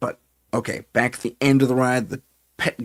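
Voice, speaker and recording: A man speaks with a Californian accent. The sound is dry and close, with no echo. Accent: California. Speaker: paranormal investigator and live show host. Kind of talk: live-stream storytelling. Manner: casual, hesitant with fillers and restarts.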